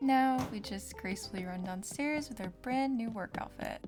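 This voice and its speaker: A woman's calm tone and lively intonation over music in the background. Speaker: gamer, college student. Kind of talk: gameplay voice-over commentary.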